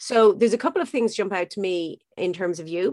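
The speaker is a woman. She talks with an Irish accent. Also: quiet background. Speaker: podcast host. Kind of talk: interview chat.

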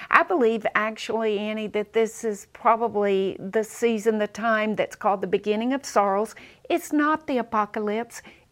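A woman's fairly high voice in a Southern US accent, moderate in pace with hardly any pauses and ordinary pitch variation, on a very clean recording with a silent background. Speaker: preacher and teacher. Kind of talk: casual chat, faith interview. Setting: studio.

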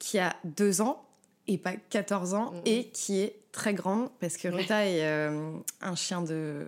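A woman speaks very slowly at a medium pitch, with ordinary variation in her pitch. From Paris, France. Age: 30s. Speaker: former veterinary nurse. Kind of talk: casual chat. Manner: hesitant, many fillers.

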